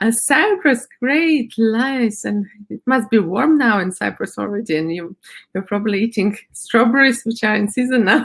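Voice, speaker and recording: A woman talks with lively intonation and a fairly high pitch. Her voice is somewhat breathy. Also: moderate pace. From Latvia. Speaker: art-therapy method instructor and happiness coach. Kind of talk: presentation at online conference. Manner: halting, many fillers.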